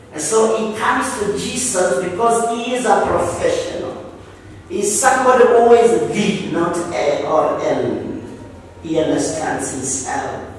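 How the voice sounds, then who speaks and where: A man speaks with lively intonation in a room with strong echo and light background noise. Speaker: preacher. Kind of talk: sermon. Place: church.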